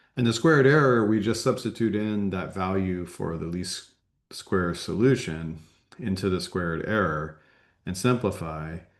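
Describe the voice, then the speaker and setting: This man's very deep, low pitch comes across against a quiet background. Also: ordinary pitch variation, moderate pace. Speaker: university lecturer. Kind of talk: lecture.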